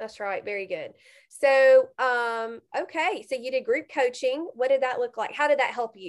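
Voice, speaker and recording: With lively intonation and a high pitch, a woman speaks at a moderate pace against a quiet background. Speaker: podcast host and coach. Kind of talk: casual interview chat. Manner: warm, encouraging.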